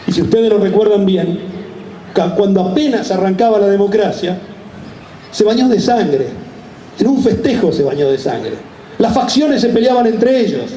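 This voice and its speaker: A man's high-pitched voice with lively intonation and very even loudness, at a moderate pace with long, frequent pauses, amid noticeable background noise and audible room echo. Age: 60s. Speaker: speaker at a commemoration ceremony. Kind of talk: public speech. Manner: halting, with self-corrections.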